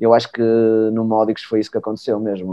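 This is a man speaking at a medium pitch. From Portugal, Porto. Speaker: former futsal player and coach. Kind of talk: casual chat.

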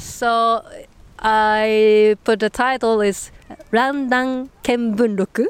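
A woman with a Japanese accent speaks very slowly at a fairly high pitch, monotone and flat, in a dry, close sound with no echo. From Nagasaki, Japan. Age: 30s. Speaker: master's student and former journalist. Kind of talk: casual interview conversation. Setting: outdoors on a public bench. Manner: halting, hesitant, many fillers.

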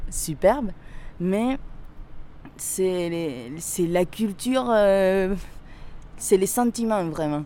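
In a dark, mellow tone, a woman talks with a Spanish accent. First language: Spanish (speaking French). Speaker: interviewee. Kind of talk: testimony.

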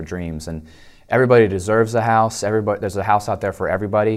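This is a man with an American accent. His voice sits fairly low. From Delaware, US (Dover). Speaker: home inspection business owner. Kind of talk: casual interview.

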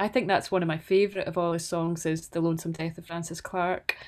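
A woman is speaking. She has a Scottish accent. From Scotland, Stirlingshire (Banknock). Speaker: folk singer-songwriter. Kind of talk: interview conversation.

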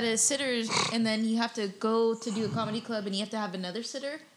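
Noticeable background noise sits under very fast speech. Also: woman. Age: 20s. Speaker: comedian and podcast co-host. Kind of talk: casual chat. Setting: studio.

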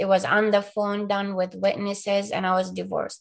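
Speaking at a fairly quick pace, a woman talks with an Arabic accent. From Palestine. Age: 40s. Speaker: abuse survivor. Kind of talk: interview testimony.

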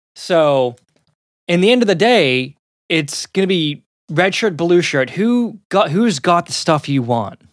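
Heard dry and close with no echo, a man speaks at a high pitch with lively intonation. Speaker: gaming podcast co-host. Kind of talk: casual chat. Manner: animated.

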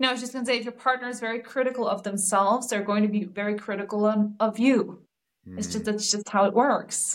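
Very fast and flat, a woman talks in a Danish accent with monotone intonation. Her loudness swings widely. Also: fairly high pitch for a woman. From Denmark. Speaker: relationship coach. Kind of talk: casual interview chat.

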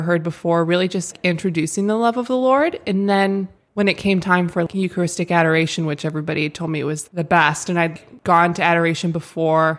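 In a normal speaking voice, a woman talks with fairly even intonation at a fairly low pitch. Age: 20s. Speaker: social media and event manager for a women's ministry. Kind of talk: casual chat with faith testimony. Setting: studio.

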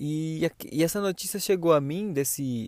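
A man's voice, dry and close with no echo, with ordinary pitch variation. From Pernambuco, Brazil (raised partly in São Paulo). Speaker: podcast host. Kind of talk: casual podcast chat. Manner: animated.

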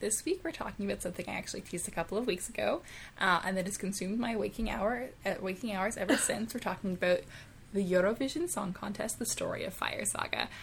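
A woman's raspy, put-on character voice at medium pitch, with lively intonation and a fairly quick pace. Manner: professional, businesslike podcast host voice.

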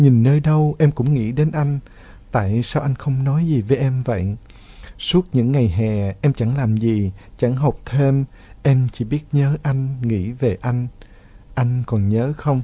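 Somewhat breathy, a man speaks fairly slowly at a medium pitch with ordinary pitch variation. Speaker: radio host. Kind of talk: radio show hosting, reading listener letters.

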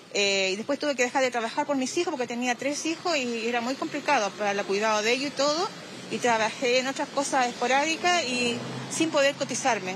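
There is noticeable background noise as a woman talks at a fairly quick pace. Her voice is high, with ordinary pitch variation. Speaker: retiree interviewed on the street. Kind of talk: vox pop testimony.

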